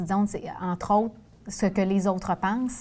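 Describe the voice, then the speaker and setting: On a very clean recording with a silent background, a woman with a Quebec accent speaks at a moderate pace in a medium pitch, her intonation fairly even. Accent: Québécois French. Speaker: former nun turned sales director. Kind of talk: interview.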